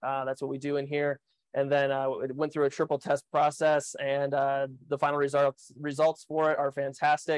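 A man talks at a moderate pace with monotone, flat intonation. The sound is dry with no echo, and the background is quiet. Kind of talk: tutorial. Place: kitchen. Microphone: lapel.

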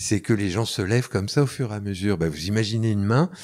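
The man's voice sits at a fairly low pitch. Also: very clean recording, silent background. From France. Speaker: soundpainting teacher and recorder player. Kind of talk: interview. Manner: hesitant, many fillers.

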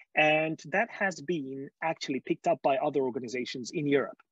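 The speaker has a Hungarian accent and a moderate pace. The background is quiet, and the sound is dry with no echo. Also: man. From Hungary. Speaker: skeptic movement speaker. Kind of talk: conference talk. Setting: video call. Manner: halting. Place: home room. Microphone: earbuds.

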